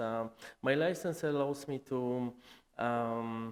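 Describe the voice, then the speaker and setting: Very slowly and at a medium pitch, a man with a Polish accent speaks with ordinary pitch variation on a very clean recording with a silent background. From Poland. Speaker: licensed property tax assessor. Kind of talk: workplace presentation. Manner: halting, many fillers.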